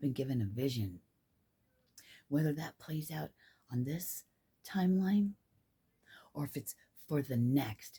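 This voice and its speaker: A woman's somewhat breathy, dark, mellow voice at a very deep, low pitch, fairly slow with long, frequent pauses, lively intonation and big swings in loudness. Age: 50s. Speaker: spiritual vlogger. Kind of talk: casual monologue.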